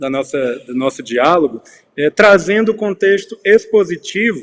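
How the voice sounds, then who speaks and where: A man at a fairly slow pace with ordinary pitch variation, in a dry, close sound with no echo. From Brazil, Piauí. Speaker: curator and researcher. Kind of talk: panel talk / lecture. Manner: hesitant, many filler sounds.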